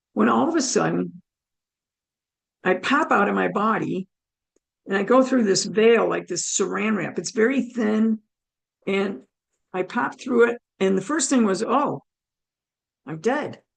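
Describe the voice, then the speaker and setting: A woman with a fairly high pitch and vocal fry speaks with long, frequent pauses. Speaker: near-death experience speaker. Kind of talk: testimony.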